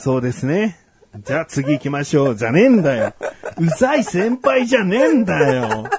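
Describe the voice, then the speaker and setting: A man talks at a fairly high pitch. His pitch swings very wide. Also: moderate pace. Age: 30s. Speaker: podcast co-host. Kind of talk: casual chat. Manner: animated.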